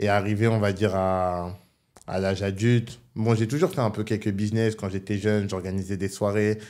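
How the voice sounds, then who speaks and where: Monotone and flat in intonation, the speech proceeds at a moderate pace over a quiet background. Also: man, fairly low pitch for a man. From northern France, Roubaix. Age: 20s. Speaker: online entrepreneur. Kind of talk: casual interview. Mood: relaxed, reflective. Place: studio. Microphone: studio mic.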